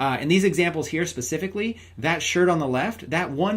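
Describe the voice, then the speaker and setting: At a fairly quick pace, a man talks in a high pitch. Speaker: online marketing trainer. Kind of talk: tutorial. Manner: fast; animated.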